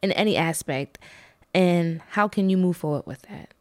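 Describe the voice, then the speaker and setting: A plain, everyday voice with an American accent, moderate pace, ordinary pitch variation, very clean recording against a silent background. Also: woman. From US Northeast, the Bronx, New York. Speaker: winery and book bar owner. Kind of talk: casual chat.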